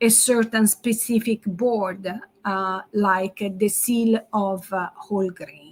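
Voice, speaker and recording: Speaking very slowly with an Italian accent, a woman uses a medium-pitched, somewhat breathy voice. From Italy. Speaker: marketing strategist. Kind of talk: webinar presentation. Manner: halting, many fillers.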